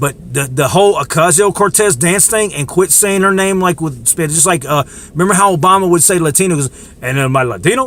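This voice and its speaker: A man's high-pitched, animated voice with lively intonation and an American accent over noticeable background noise. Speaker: political commentator vlogger. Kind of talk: casual rant to camera. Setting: in the dark, self-recorded video. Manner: fast.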